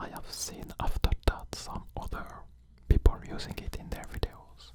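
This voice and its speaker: A man whispering over noticeable background noise. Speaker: ASMR artist. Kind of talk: ASMR whisper talk. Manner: whispered, soft, slow.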